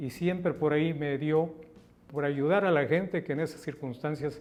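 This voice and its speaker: Speaking in a Mexican accent, a man keeps a fairly high pitch, a monotone, flat delivery and a moderate pace. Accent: Mexican Spanish (Jalisco). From Mexico, Guadalajara (Jalisco). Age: 70s. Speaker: politician. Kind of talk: interview.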